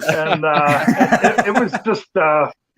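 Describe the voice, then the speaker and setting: A man talks with an American accent and ordinary pitch variation. The sound is dry and close with no echo. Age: 60s. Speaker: retired amateur racer. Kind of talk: casual chat.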